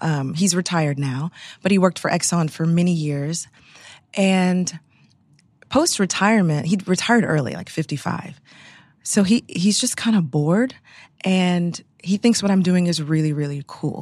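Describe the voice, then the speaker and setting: A woman with an American accent at a moderate pace and fairly low pitch, with ordinary pitch variation, long, frequent pauses, and a very clean recording with a silent background. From Texas, Houston (Clear Lake). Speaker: entrepreneur, candle company founder. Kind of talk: interview conversation.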